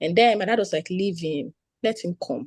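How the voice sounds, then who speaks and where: The tone is dark and mellow. The sound is dry and close, with no echo. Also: woman. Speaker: participant in online community meeting. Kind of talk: testimony. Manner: fast.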